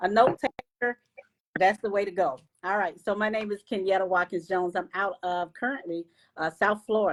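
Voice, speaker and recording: An unremarkable speaking voice moves at a fairly quick pace with ordinary pitch variation, in a dry, close sound with no echo. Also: woman, medium pitch for a woman. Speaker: live stream host. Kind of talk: live stream chat. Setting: Facebook live stream.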